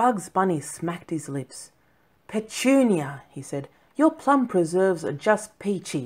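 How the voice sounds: Plain, natural reading voice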